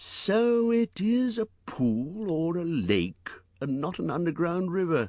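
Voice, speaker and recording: A man uses a put-on character voice with a high pitch. He speaks at a fairly slow pace. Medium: read story.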